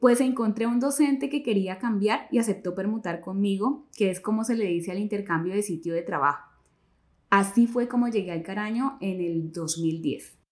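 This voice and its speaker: With lively intonation, a woman speaks at a medium pitch and moderate pace in an unremarkable speaking voice. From Colombia, Caquetá (Florencia). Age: 40s. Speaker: school teacher and narrator. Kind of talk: scripted narration.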